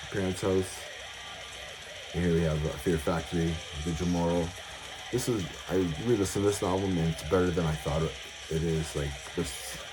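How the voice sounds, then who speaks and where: Mumbled speech at a fairly quick pace with long, frequent pauses, very even loudness, audible room echo and noticeable background noise. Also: man. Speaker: metal music collector YouTuber. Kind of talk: casual collection showcase. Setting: at home, music playing in background. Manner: mumbling; hesitant, many fillers.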